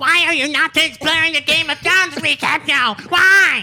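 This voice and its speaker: The speaker puts on a character voice with a high pitch. The pace is moderate. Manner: nerdy, exasperated.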